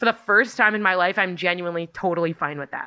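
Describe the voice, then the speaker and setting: The tone is bright and sharp. The words come at a very fast pace. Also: woman. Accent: Californian. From California, Los Angeles area. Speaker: musician and songwriter. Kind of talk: casual interview chat. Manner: fast talker.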